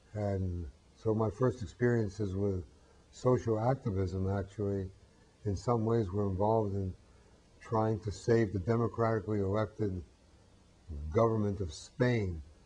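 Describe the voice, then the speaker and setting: With an American accent, a man speaks at a moderate pace in a fairly low, dark, mellow, somewhat breathy voice, keeping his intonation fairly even and leaving long, frequent pauses. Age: 70s. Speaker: peace activist. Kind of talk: interview. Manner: hesitant with frequent fillers.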